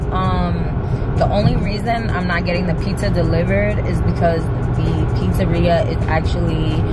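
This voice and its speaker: A woman speaks at a fairly slow pace. Loud background noise runs behind her. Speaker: vlogger. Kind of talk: casual vlog chat. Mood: relaxed, chatty, laughing. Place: car. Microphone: phone near.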